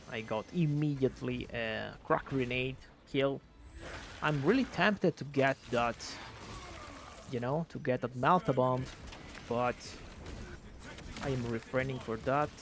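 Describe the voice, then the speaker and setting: Pausing long and often, a man with an Italian accent speaks at a fairly slow pace. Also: medium pitch for a man, ordinary pitch variation. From Italy. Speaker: gaming video creator. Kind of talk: gameplay commentary. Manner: casual, hesitant with fillers.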